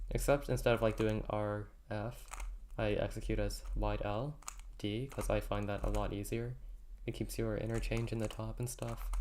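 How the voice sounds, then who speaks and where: A soft-spoken voice at a moderate pace. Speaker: speedcubing streamer. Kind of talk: casual livestream commentary. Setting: livestream.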